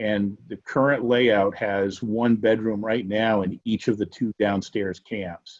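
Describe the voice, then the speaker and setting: A man speaks fairly slowly in a monotone, flat delivery at a fairly low pitch. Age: 60s. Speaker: property owner applying for variance. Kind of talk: public hearing testimony. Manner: halting.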